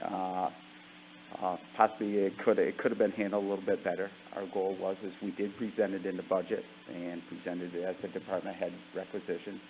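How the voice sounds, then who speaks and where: At a fairly quick pace, a man speaks in a fairly low voice with monotone, flat intonation. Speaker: county department head presenting to committee. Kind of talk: committee meeting report. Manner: fast.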